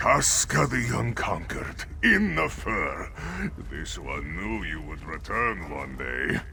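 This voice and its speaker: Someone uses a put-on character voice at a fairly slow pace, with clear background noise behind it. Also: man. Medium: video game. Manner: smooth, wheedling.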